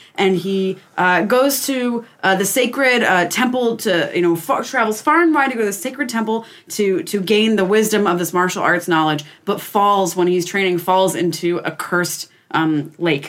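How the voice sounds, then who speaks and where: With an American accent, the speaker keeps a moderate pace with hardly any pauses, lively intonation and very even loudness over noticeable background noise. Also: woman, medium pitch for a woman. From Pennsylvania. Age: 20s. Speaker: podcast guest. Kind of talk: casual chat.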